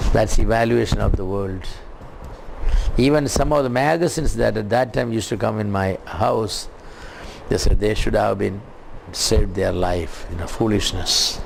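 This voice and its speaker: With lively intonation and long, frequent pauses, a man at a fairly low pitch speaks at a moderate pace amid noticeable background noise and audible room echo. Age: 70s. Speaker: preacher. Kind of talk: sermon. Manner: halting.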